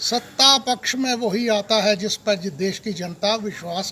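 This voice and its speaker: A man with a high-pitched voice speaks in a raised, projected way with ordinary pitch variation. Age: old. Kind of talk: political appeal to camera.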